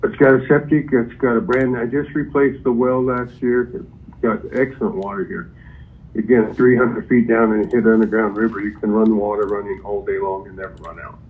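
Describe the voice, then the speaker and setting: This man has an ordinary speaking voice, pitched in the medium range with ordinary pitch variation. He speaks at a fairly quick pace. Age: 60s. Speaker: property seller, boxing trainer. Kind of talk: phone call with buyer. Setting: phone call.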